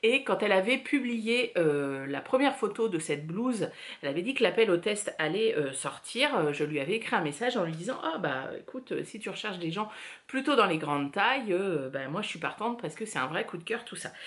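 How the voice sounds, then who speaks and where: Pitch leaps across a very wide range while the words come fairly quickly. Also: woman, medium pitch for a woman. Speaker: knitting podcaster. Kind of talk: casual chat. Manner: hesitant, many filler words.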